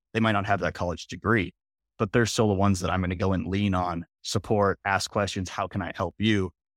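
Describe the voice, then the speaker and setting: Delivered at a fairly quick pace in a monotone, flat intonation, the voice carries an American accent and a dry, close sound with no echo. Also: man, fairly low pitch for a man. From Minnesota, US. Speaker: manufacturing engineer. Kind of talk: interview conversation. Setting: video call.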